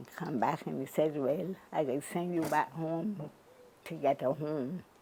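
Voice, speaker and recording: Noticeable background noise sits behind a woman with a very deep, low pitch who speaks at a fairly slow pace with ordinary pitch variation. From Barbados. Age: 80s+. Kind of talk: interview answer. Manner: energetic.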